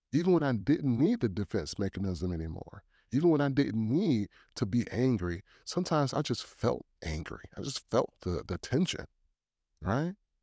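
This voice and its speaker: On a very clean recording with a silent background and a dry, close sound with no echo, a man with a medium pitch and a dark, mellow tone speaks at a moderate pace with very wide pitch swings. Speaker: podcast host. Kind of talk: faith-based solo podcast talk. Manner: halting, with filler words.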